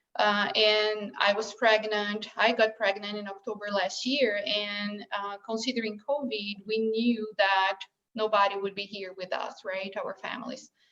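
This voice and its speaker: A woman with a Brazilian Portuguese accent speaks at a medium pitch and a fairly slow pace, with flat, monotone intonation, hardly any pauses, and big swings in loudness. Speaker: bereaved mother sharing her story. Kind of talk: personal testimony. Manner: halting, many fillers.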